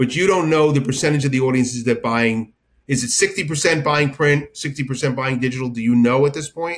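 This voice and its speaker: With an American accent, a man uses an ordinary speaking voice, fairly high in pitch for a man, with ordinary pitch variation at a moderate pace. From New Jersey. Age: 60s. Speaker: podcast host. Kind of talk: casual interview chat.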